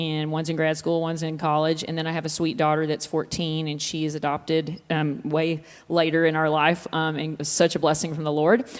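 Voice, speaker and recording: A woman talks at a fairly quick pace in a Texas accent. Her pitch is fairly low. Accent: Texas Southern. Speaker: worship leader. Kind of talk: interview. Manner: fast; animated.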